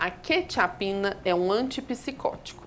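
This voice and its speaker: A woman's voice at a fairly slow pace, with very wide pitch swings. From Minas Gerais, Brazil (Belo Horizonte). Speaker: geriatrician and palliative care doctor. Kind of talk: TV health interview answering viewer questions. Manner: explanatory, clinical.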